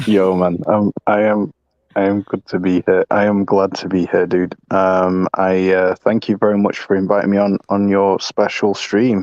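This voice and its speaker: Monotone, flat delivery from a man with a fairly low pitch, at a moderate pace, with a dry, close sound and no echo. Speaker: streamer. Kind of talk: casual chat. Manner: halting.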